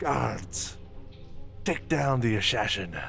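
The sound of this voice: A man uses a put-on character voice at medium pitch, fairly bright in tone with vocal fry and lively intonation. He speaks at a slow pace over faint music in the background.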